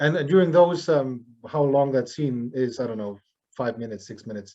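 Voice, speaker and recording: A man at a medium pitch with a German accent, moderate pace and ordinary pitch variation. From Germany. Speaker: jazz drummer. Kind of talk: interview. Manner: halting, many fillers.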